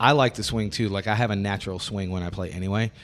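Talking at a very fast pace, a man speaks with an American accent. The recording is very clean, with a silent background. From US South. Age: 40s. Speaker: podcast host and drummer. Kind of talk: casual chat; show outro. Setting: rehearsal studio. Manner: animated.

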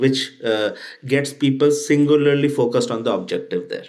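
Ordinary pitch variation, with audible room echo. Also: man. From India. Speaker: tech startup CEO. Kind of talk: interview.

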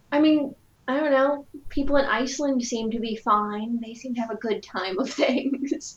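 The speaker is a woman with a high pitch. She keeps a moderate pace and ordinary pitch variation. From Rhode Island, US. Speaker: podcast host. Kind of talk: casual podcast interview.

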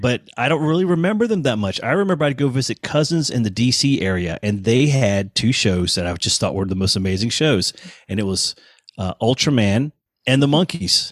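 On a very clean recording with a silent background and a dry, close sound with no echo, a man of medium pitch talks at a fairly quick pace with very wide pitch swings. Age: 50s. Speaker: touring bassist. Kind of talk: casual chat.

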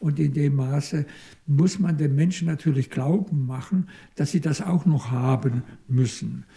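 Somewhat breathy, a man with a fairly high pitch and a dark, mellow tone speaks at a very slow pace. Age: 70s. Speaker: psychoanalyst. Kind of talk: interview. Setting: institute office. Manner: halting.

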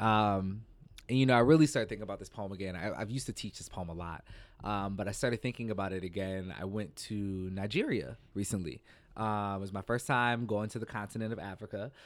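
In a plain, everyday voice, a man talks at a fairly quick pace with a fairly low pitch and ordinary pitch variation, on a very clean recording with a silent background. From US Midwest (St. Paul, Minnesota). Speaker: poet and performer. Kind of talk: casual discussion.

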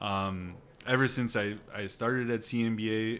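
This man speaks with an American accent at a very slow pace. His intonation is monotone and flat. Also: very clean recording, silent background. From Northwest Iowa (Sheldon). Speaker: architect. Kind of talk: casual interview.

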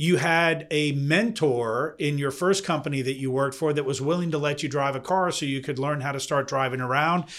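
A man uses a normal speaking voice at a fairly high pitch with fairly even intonation. He leaves hardly any pauses. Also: fairly quick pace. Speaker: podcast host. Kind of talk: casual interview.

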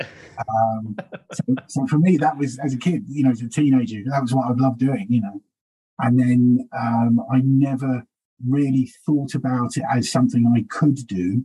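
A man talks at a moderate pace with a medium pitch and ordinary pitch variation. His tone is dark and mellow, and somewhat breathy. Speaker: stand-up comedian. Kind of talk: casual interview chat.

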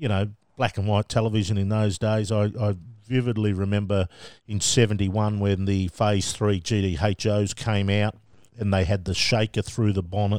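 A man's fairly low voice at a moderate pace, monotone and flat, with very even loudness, a dry, close sound with no echo and a very clean recording, silent background. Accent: Australian. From Australia, Melbourne. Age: 50s. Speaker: motorsport media manager. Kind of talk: casual interview.

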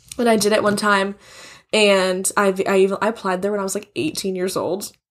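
Speaking at a fairly quick pace, a woman at medium pitch has a plain, everyday voice, captured in a very clean recording with a silent background. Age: 20s. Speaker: podcast guest, host's friend. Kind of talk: casual chat.

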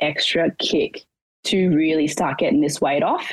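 An Australian accent marks this woman's very deep, low voice, delivered at a moderate pace in a dry, close sound with no echo. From Australia, rural Victoria (Portland). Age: 20s. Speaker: challenge winner, racehorse worker. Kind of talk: casual interview.

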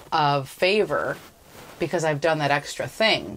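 A woman with a plain, everyday voice speaks at a moderate pace in a fairly low pitch, with ordinary pitch variation. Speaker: podcast co-host. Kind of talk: casual commentary chat.

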